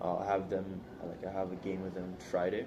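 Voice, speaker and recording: A man speaks with a dark, mellow tone and fairly low pitch. Audible room echo surrounds his voice. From Sint Maarten. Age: 20s. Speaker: university student. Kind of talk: interview.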